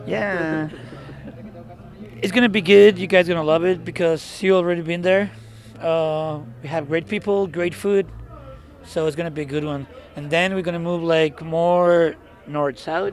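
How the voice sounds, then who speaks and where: Against noticeable background noise, a man with a Mexican accent speaks at a moderate pace in a high pitch with ordinary pitch variation and long, frequent pauses. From Mexicali, Baja California, Mexico. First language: Spanish. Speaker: experimental noise musician. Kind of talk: casual interview. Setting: outdoors after a show.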